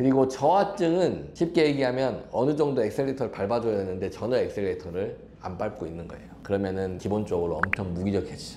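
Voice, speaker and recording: A man talks very fast with hardly any pauses, at medium pitch with very wide pitch swings and big swings in loudness. Noticeable background noise and audible room echo are present. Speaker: physician. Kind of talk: health explainer interview. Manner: conversational, explanatory.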